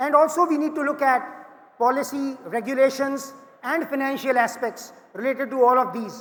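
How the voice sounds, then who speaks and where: Loud and at an extremely high pitch, a man talks at a moderate pace. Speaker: panel moderator, management consultant. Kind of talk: panel discussion moderation. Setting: conference stage with audience.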